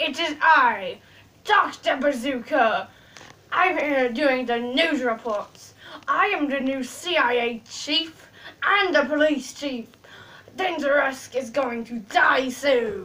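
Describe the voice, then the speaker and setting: A woman uses a put-on character voice at a high pitch. She speaks at a very slow pace. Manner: pompous, menacing.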